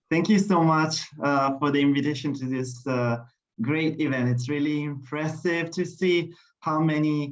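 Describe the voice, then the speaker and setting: With an Italian accent, a man with a fairly high pitch speaks at a fairly slow pace and fairly even intonation amid audible room echo. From Italy. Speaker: language teacher. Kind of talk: formal speech. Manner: halting.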